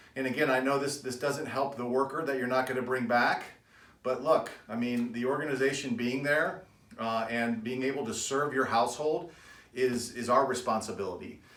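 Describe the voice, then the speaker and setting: Through noticeable background noise and audible room echo, a man speaks at medium pitch with fairly even intonation. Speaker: financial advisor. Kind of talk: video update to business owners. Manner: fast; casual.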